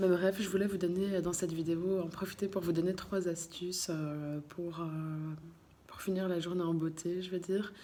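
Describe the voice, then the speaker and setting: Soft-spoken and monotone, a woman speaks at a moderate pace over noticeable background noise. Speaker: vlogger. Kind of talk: casual vlog talk to camera. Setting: in a car, then at home at night. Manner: halting, many hesitations.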